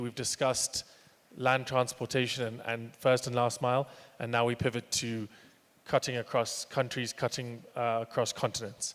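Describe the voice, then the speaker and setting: A man speaks with an English accent at a moderate pace. His pitch is medium. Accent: sounds quite English. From Kenya. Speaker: panel moderator, transport company manager. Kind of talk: panel discussion.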